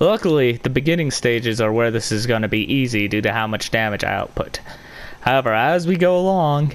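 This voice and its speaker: Medium pitch and ordinary pitch variation from a man, set against noticeable background noise. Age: 20s. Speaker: gamer. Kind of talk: casual chat.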